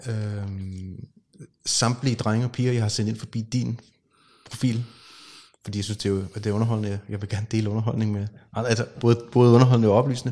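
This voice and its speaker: Speaking at a fairly quick pace, a man uses a monotone, flat intonation. His tone is dark and mellow, broken by long, frequent pauses. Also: medium pitch for a man. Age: 40s. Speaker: podcast host. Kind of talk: casual interview conversation. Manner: hesitant, many fillers.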